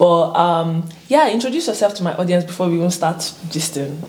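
Noticeable noise runs behind a woman whose voice sits fairly low in pitch. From Nigeria. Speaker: YouTuber, international student. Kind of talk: casual chat. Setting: studio. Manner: animated, laughing often.

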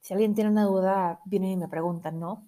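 On a very clean recording with a silent background, a woman speaks in a dark, mellow tone with fairly even intonation. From Mexico, Monterrey. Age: 20s. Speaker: podcast host. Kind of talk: solo podcast intro monologue. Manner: casual, with many fillers.

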